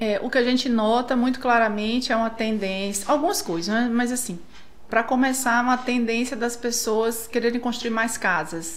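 Amid audible room echo, a woman speaks at a moderate pace with a fairly high pitch and ordinary pitch variation. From northern Brazil (Tucuruí, Pará). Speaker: architect. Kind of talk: casual interview.

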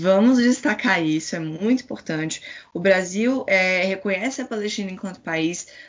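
A woman uses a normal speaking voice, pitched medium. She keeps a moderate pace and ordinary pitch variation. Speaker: Palestinian youth activist. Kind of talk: interview.

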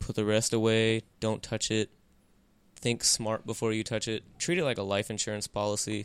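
The voice moves at a moderate pace with fairly even intonation. The recording is very clean with a silent background, and the sound is dry and close with no echo. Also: man, fairly low pitch for a man. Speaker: podcast co-host. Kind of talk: casual banter podcast. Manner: monotone.

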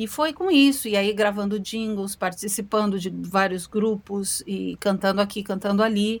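At a moderate pace, a woman speaks with hardly any pauses. Her pitch is medium and her intonation fairly even. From Brazil. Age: 50s. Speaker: singer. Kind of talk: interview. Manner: halting.

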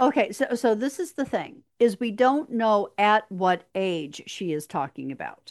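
Against a quiet background, a woman with a fairly high pitch talks at a fairly slow pace in an unremarkable speaking voice. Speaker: podcast host. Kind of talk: casual podcast chat.

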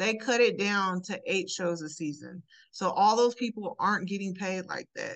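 At a moderate pace and a medium pitch, a woman talks in a normal speaking voice with ordinary pitch variation. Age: 30s. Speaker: podcast co-host. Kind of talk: casual chat.

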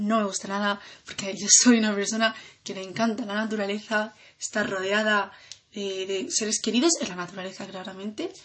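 A woman speaks at a fairly slow pace. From Andalusia, Granada. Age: 20s. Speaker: student. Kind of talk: self-introduction podcast. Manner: hesitant with fillers.

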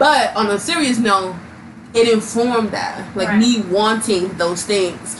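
Audible room echo and noticeable background noise surround a woman talking at medium pitch, her pitch varying in an ordinary way. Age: 20s. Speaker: podcast co-host. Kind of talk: casual chat.

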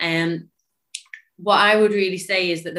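The speaker has a Cumbrian accent and a moderate pace. Intonation is monotone and flat. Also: woman. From northern England, Cumbria. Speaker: physiotherapist. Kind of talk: casual chat.

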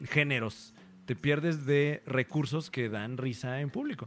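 A man speaks at a fairly slow pace in a fairly high pitch, with a normal speaking voice. The recording is very clean, with a silent background. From Mexico. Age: 30s. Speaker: stand-up comedian. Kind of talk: casual chat. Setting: hotel room.

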